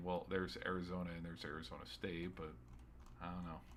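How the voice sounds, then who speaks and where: Audible room echo around a very deep, low male voice with ordinary pitch variation. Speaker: sports streamer. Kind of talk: solo sports recap podcast. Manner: halting, stuttering; casual, rambling.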